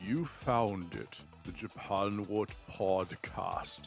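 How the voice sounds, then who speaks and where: Clear music plays in the background while a man uses a put-on character voice. His pitch is fairly low and his pace very slow. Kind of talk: affected, pompous. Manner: mock-grand.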